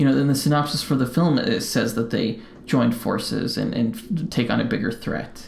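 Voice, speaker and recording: Over noticeable background noise and audible room echo, a man with an American accent speaks at a moderate pace. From Colorado, US. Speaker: podcast co-host. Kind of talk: casual chat. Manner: mumbling; halting, many fillers.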